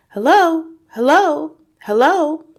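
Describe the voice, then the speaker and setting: A woman uses a put-on character voice, high-pitched and squeaky, raised and projected. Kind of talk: spooky voice imitation. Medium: read story. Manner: repetitive, human-like mimicry.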